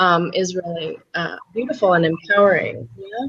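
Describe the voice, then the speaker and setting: Here a woman talks at a moderate pace in a plain, everyday voice. Her intonation is lively. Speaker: speaking and presence coach. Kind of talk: interview.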